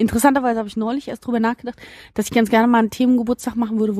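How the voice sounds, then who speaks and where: A woman's fairly high voice, dark and mellow in tone, at a very fast pace, with dry, close sound with no echo on a very clean recording with a silent background. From Berlin (Biesdorf, Marzahn). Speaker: podcast host. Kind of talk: casual chat. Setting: outdoors in a garden.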